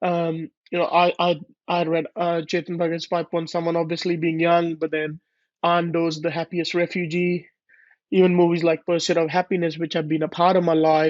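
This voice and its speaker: In a monotone, flat intonation, a man with a high pitch speaks at a moderate pace. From India, Punjab (Ludhiana). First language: Punjabi or Hindi. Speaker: author. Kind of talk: interview. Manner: hesitant, many fillers.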